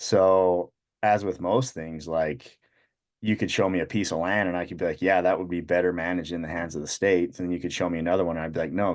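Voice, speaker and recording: Fairly quick talk from a man with a very deep, low pitch. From Utah. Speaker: shed hunter. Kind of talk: casual chat.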